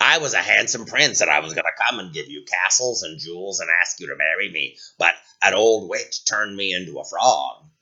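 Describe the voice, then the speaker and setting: Putting on a character voice, a man speaks at a fairly low pitch and a fairly quick pace with hardly any pauses. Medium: read story. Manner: coaxing.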